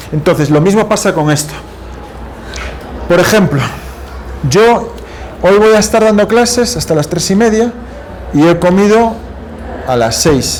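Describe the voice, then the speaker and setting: A man with lively intonation, audible room echo and noticeable background noise. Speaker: university lecturer. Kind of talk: lecture. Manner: fast.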